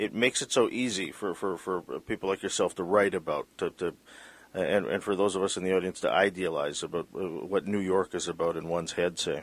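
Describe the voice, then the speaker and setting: A man speaks at a moderate pace in a normal speaking voice with a fairly low pitch. The recording is very clean, with a silent background. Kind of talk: interview.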